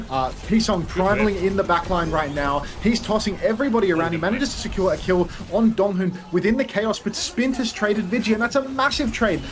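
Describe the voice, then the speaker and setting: Background noise can be noticed. The delivery is fairly quick. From Australia. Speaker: esports caster and streamer. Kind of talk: live commentary. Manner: animated.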